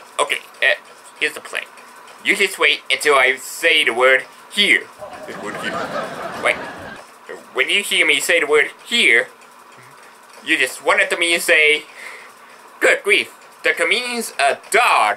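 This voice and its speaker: This cartoonish character voice moves at a moderate pace, broken by long, frequent pauses. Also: man, fairly high pitch for a man. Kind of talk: vaudeville stand-up patter. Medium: puppet show. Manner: eager, excitable, comic.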